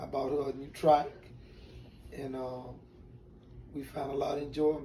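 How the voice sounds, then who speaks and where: In a room with audible echo, a man with a Southern US accent speaks in a fairly high pitch with monotone, flat intonation. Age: 60s. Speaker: retired drag racer. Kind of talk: interview, personal story. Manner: halting.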